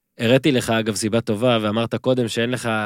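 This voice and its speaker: A man speaks at a fairly quick pace with a medium pitch and an unremarkable speaking voice, his intonation fairly even. The recording is very clean with a silent background and a dry, close sound with no echo. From Israel, moshav. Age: 30s. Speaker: podcast host. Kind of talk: interview. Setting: studio.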